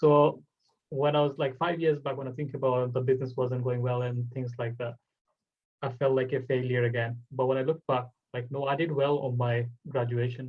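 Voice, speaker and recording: A man with a Bengali accent sounds somewhat breathy. His intonation is monotone and flat. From Bangladesh. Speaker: podcast host. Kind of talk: casual chat.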